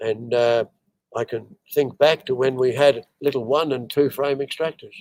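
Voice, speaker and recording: A man with an Australian accent speaks at a moderate pace and medium pitch, his intonation fairly even and the sound dry and close with no echo. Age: 80s+. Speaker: veteran beekeeper. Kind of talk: interview. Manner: halting.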